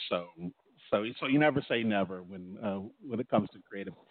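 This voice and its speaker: Speaking with an American accent, a man shows ordinary pitch variation. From California. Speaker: songwriter and music producer. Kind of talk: interview. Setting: remote call from poolside. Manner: halting, repeats words often.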